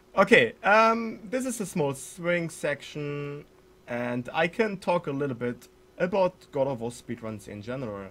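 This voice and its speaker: A man talks at a fairly slow pace with a German accent. His pitch swings very widely. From Germany. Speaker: speedrunner streamer. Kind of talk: live gameplay commentary. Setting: live stream. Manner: halting.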